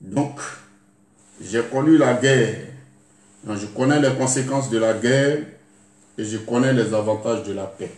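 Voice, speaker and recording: A man's medium-pitched voice, fairly slow and fairly even in intonation, with long, frequent pauses and audible room echo. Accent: Ivorian. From Côte d'Ivoire, Lakota (Dida). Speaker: YouTube artist, former soldier. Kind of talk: video address to the public. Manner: halting.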